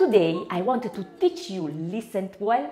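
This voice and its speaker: Speaking at a fairly slow pace with very wide pitch swings, a woman with an Italian accent comes through over noticeable background noise. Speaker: home cooking video host. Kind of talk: cooking tutorial.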